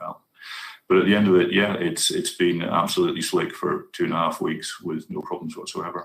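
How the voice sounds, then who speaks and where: The speaker talks at a fairly quick pace in a Scottish accent. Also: man. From Scotland. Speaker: university IT presenter. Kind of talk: conference Q&A answer.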